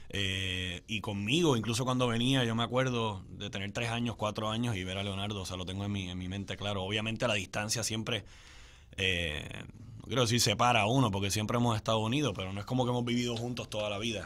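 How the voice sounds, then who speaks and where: Speaking at a very fast pace, a man with a fairly low pitch keeps his intonation fairly even. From Puerto Rico. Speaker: son of a late singer-songwriter; guest. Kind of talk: radio interview. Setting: studio. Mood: warm, reminiscent. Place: studio. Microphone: studio mic.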